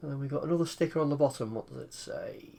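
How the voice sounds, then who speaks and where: A man with an English accent. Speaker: retro computer hobbyist. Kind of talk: casual tutorial.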